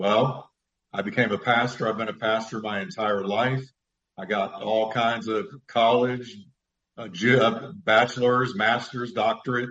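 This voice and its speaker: This man has a normal speaking voice at medium pitch. He talks at a fairly slow pace with fairly even intonation. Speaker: pastor and radio speaker. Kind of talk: live call-in Bible Q&A. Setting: studio, live radio show.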